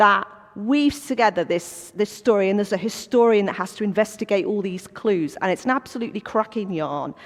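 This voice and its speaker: A woman with a Welsh accent speaks at a moderate pace in an animated tone, her pitch fairly high. Noticeable background noise runs under her voice. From North Wales. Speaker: business owner, former history teacher. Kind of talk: church talk. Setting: church coffee morning with audience.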